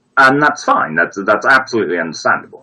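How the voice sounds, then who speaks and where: A man with a Brummie accent talks at a fairly quick pace. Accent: mild Brummie, fairly well spoken. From Birmingham, England. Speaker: viewer giving advice on a live stream. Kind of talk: casual chat. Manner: halting, many repetitions. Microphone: bad setup.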